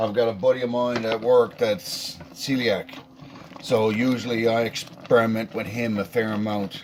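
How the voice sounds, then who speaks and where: Over noticeable background noise, a man with a slight Newfoundland accent talks at a moderate pace in a medium-pitched voice with fairly even intonation. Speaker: home cook. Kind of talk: cooking tutorial. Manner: casual.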